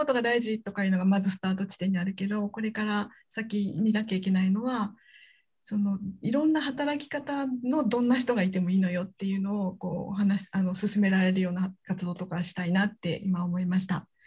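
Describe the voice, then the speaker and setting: This woman talks at a fairly quick pace, her voice somewhat breathy. Her pitch is medium, with ordinary variation. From Hyogo, Japan (Kansai). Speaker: university researcher and podcast anchor. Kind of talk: casual interview chat. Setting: video call.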